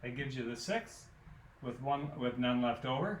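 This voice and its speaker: Audible room echo accompanies a man's speech. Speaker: math teacher. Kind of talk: lecture. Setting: recorded alone without students.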